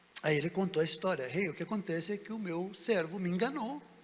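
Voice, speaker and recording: This man's pace is moderate. Behind his speech, background noise is noticeable. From Brazil. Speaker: pastor. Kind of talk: sermon. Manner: animated.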